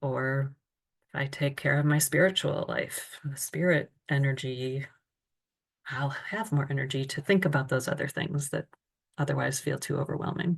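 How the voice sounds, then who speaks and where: Her pitch is very deep and low, and her voice is somewhat breathy. The woman talks at a moderate pace with fairly even intonation. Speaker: self-care workshop presenter. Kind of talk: online seminar presentation.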